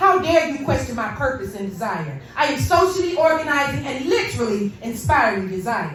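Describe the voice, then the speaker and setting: Her pitch swings very widely as the woman talks at a fairly slow pace. Background noise is noticeable throughout. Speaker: poet. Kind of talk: spoken word performance. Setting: live venue, hookah lounge. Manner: angry, intense.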